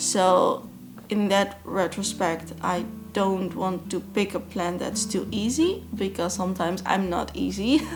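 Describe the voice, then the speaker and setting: With a non-native accent, a woman speaks fairly slowly at a medium pitch and fairly even intonation, with audible room echo around her. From Netherlands. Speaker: plant YouTuber. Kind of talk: Q&A vlog. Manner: halting.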